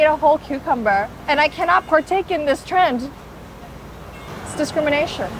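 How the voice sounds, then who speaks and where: A high-pitched woman with a Californian accent at a moderate pace, with ordinary pitch variation and noticeable background noise. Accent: sounds very California. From South Korea. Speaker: food vlogger. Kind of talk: food vlog narration. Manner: animated.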